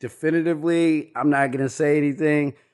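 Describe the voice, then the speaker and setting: Over a quiet background, a man with an unremarkable speaking voice and a fairly high pitch talks at a moderate pace. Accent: American. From Kansas (Lawrence). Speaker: cook. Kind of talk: casual interview.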